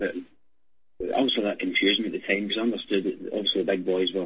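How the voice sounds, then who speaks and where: A man with a Glaswegian accent. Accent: Glaswegian Scottish. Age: 20s. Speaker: caller. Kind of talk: phone-in call. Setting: phone call. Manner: halting.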